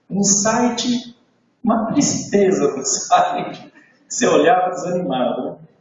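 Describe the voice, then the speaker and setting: Audible room echo follows a man who talks very slowly. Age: 60s. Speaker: motivational sales trainer. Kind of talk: training talk to live audience. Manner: animated storytelling.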